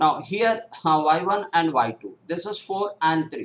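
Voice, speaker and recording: The pitch shows ordinary variation. It comes from a man. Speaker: math teacher for bank exams. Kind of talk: live online lecture. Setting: live stream on YouTube. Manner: hesitant, many fillers; slow.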